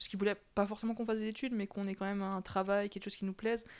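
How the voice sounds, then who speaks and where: Recorded very cleanly against a silent background, a woman with a medium-pitched voice speaks at a very fast pace. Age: 20s. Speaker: interviewee sharing her love life. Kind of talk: personal testimony interview.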